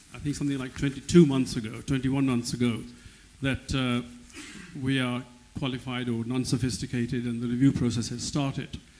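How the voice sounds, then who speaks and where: Speaking at a fairly quick pace, a man with medium pitch and a dark, mellow tone keeps a monotone, flat intonation. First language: not English. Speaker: business owner in audience. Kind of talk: audience question. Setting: audience hall, handheld mic. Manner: halting.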